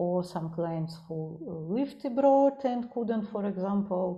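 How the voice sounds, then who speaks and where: A woman with a Russian accent, somewhat breathy, with a dark, mellow tone and a fairly slow pace. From Russia, Saint Petersburg. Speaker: psychologist. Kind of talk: interview. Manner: halting, many fillers.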